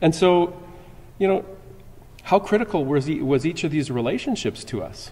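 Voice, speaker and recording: A man with a Canadian accent, a dark, mellow tone and fairly high pitch. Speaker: security conference presenter. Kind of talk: conference talk. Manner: halting, many repetitions.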